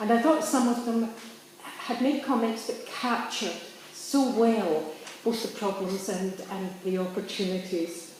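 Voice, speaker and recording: A woman speaks at a fairly slow pace with fairly high pitch and ordinary pitch variation. Room echo is audible, and there is noticeable background noise. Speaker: political activist. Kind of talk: public speech. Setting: public event.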